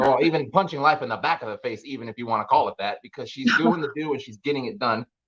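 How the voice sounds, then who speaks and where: At a fairly quick pace, a man with a fairly high pitch talks in an ordinary speaking voice with ordinary pitch variation. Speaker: podcast host; veteran. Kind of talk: podcast interview host talk.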